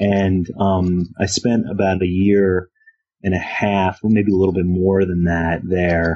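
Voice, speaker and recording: This speaker has a Philadelphia accent and monotone, flat intonation. The loudness stays very even. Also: man, very deep, low pitch for a man. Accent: Philadelphia American English. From US, Philadelphia. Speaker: religious studies professor. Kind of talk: interview. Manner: halting, many fillers.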